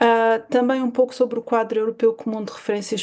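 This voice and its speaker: Her intonation is monotone and flat. The woman's fairly high voice has a dark, mellow tone. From Portugal, Alentejo. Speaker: university professor. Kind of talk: conference talk. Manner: hesitant, many fillers.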